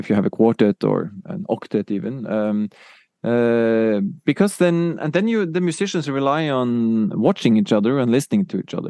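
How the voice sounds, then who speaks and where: A quiet background behind a man with a Norwegian accent, medium pitch with very wide swings, dark, mellow tone, moderate pace, and a dry, close sound with no echo. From Norway. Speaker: music technology professor. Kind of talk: interview. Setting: in Oslo.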